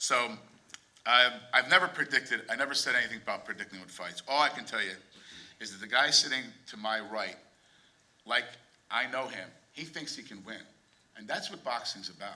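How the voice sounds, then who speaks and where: A man with an American accent talks at a fairly quick pace with lively intonation, big swings in loudness, long and frequent pauses, a medium pitch, and noticeable background noise. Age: 60s. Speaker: boxing manager or promoter. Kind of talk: press conference remarks. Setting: press conference.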